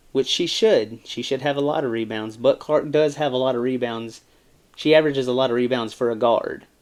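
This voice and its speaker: The voice has an American accent and fairly even intonation. The pace is fairly quick. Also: man, medium pitch for a man. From US South. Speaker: sports commentator YouTuber. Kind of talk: casual sports commentary. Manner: casual, rambling with fillers.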